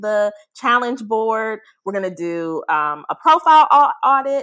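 With an unremarkable speaking voice, a woman talks at a fairly slow pace, her fairly high pitch carrying lively intonation. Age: 30s. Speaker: podcast co-host. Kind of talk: casual chat.

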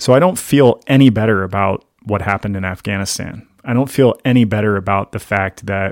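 In a plain, everyday voice, a man with an American accent speaks at a moderate pace, his fairly low pitch and fairly even intonation captured in a very clean recording with a silent background and a dry, close sound with no echo. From US Mid-Atlantic (Maryland, Pennsylvania, Virginia). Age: 40s. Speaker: journalist and war veteran. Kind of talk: interview conversation.

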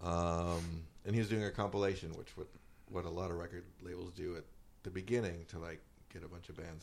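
A man's very deep, low voice with an American accent, fairly quick and fairly even in intonation, with big swings in loudness and audible room echo. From Wisconsin. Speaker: indie rock musician. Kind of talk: casual chat.

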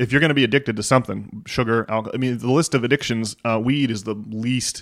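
A man talks at a fairly quick pace in an unremarkable speaking voice, with ordinary pitch variation. The recording is very clean, with a silent background. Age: 30s. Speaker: podcast host. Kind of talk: casual chat.

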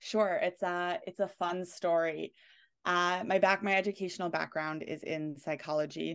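A woman with a New York accent and fairly even intonation. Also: fairly low pitch for a woman, moderate pace, quiet background. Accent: New York area American. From New York / New Jersey area. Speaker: consent educator. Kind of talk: interview conversation.

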